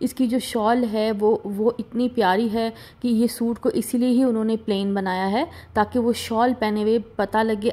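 A woman speaks with a fairly high pitch and a dark, mellow tone. Her intonation is monotone and flat. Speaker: fashion vlogger. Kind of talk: product showcase video. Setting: voice-over recording.

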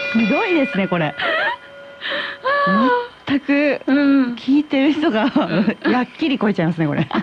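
A woman is speaking at a moderate pace. Loud background noise runs underneath. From Hamamatsu, Shizuoka. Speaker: actress. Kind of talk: radio guest conversation. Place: studio.

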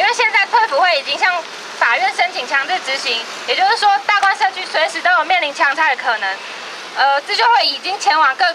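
A woman's raised, projected voice, extremely high in pitch, with a Taiwanese accent, at a fairly quick pace amid noticeable background noise. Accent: Taiwanese Mandarin. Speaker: housing rights activist. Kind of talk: protest speech. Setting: outdoors. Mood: firm, critical. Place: street. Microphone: handheld.

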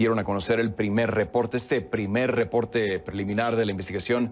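Here is a man's voice. He moves at a fairly quick pace. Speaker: news anchor. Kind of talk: news reading. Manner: formal, steady newsreader delivery. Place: studio. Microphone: lapel.

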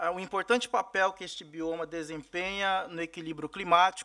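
A man talks at a high pitch with a bright, sharp tone. The background is quiet. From Mato Grosso do Sul, Brazil. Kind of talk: formal testimony at a hearing. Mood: serious, concerned. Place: meeting room. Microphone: podium.

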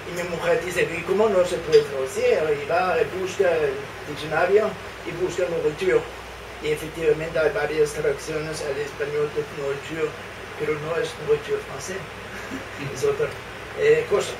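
There is noticeable background noise as a man talks at a moderate pace in a high voice. His intonation is fairly even, broken by long, frequent pauses. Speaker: poet. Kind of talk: talk introducing poems; anecdote to audience. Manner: playful, switches languages. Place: cafe. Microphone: camera far.

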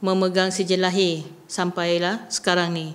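Her speaking voice lands at a medium pitch for a woman. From Sabah, Malaysia. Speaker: mother of a student. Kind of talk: interview. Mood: concerned, earnest. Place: meeting room. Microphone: podium.

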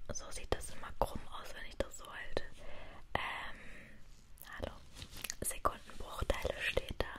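A woman whispers in a soothing tone at a very slow pace, with long, frequent pauses. Her loudness swings widely. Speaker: ASMR creator. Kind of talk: ASMR whisper talk to camera, explaining her tattoos. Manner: whispered, relaxing, soothing. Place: home room. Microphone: studio mic.

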